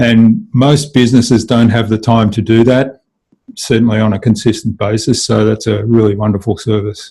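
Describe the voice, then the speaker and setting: Somewhat breathy and dark, mellow in tone, this voice carries an Australian accent at a moderate pace. Its intonation is fairly even and its loudness very even. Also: man, medium pitch for a man. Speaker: digital marketing agency owner. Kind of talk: interview.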